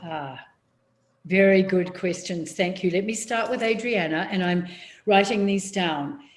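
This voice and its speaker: There is audible room echo around a woman's voice. She speaks at medium pitch with ordinary pitch variation. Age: 70s. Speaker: public speaking coach. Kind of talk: workshop Q&A. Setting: video call. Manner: slow, deliberate.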